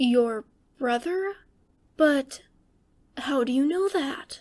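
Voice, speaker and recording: Quiet and very slow, a woman does a put-on character voice at a high pitch. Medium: read story. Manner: quiet, gentle.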